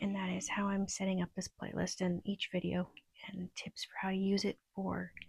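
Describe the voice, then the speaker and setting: The voice is quiet and moves at a moderate pace. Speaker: self-help video creator. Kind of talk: casual tutorial monologue. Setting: at home at night. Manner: quiet, subdued; hesitant, with fillers.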